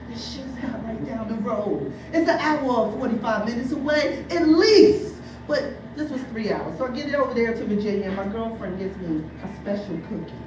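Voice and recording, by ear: Lively intonation moves at a moderate pace over audible room echo. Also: woman, fairly high pitch for a woman.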